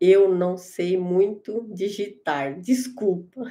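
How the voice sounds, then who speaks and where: Against a quiet background, a woman speaks at a very slow pace in a dark, mellow tone with ordinary pitch variation. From Brazil, Santa Catarina (Joinville); Santa Catarina, Brazil. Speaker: YouTuber doing live stream. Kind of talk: live stream chatting with viewers, reading comments. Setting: live stream at computer. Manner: halting, with many hesitations. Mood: warm, cheerful. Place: home room. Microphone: phone near.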